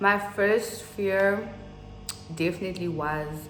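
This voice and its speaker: The voice moves at a very slow pace with fairly even intonation. Noticeable background noise and audible room echo fill the recording. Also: woman. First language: Afrikaans. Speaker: youtuber. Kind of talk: casual vlog chat.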